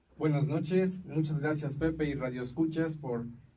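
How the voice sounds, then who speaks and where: A man speaks with fairly even intonation, with audible room echo around him. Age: 20s. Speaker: seminarian. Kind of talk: radio interview. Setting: radio studio.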